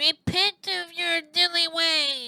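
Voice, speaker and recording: An extremely high, nasal put-on character voice carries the speech. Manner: cartoonish.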